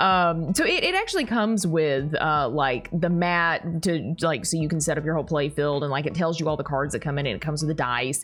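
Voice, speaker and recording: Over noticeable background noise, a woman with a very deep, low pitch and a Southern US accent talks at a fairly quick pace, her pitch varying in an ordinary way and her loudness very even. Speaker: YouTuber. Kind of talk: unboxing video. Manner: casual, rambling with filler words. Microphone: audio sounded bad, heavily processed.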